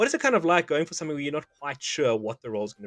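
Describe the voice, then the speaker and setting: A man with a South African accent is heard in a dry, close recording with no echo. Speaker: interviewer, pop culture show host. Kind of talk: interview.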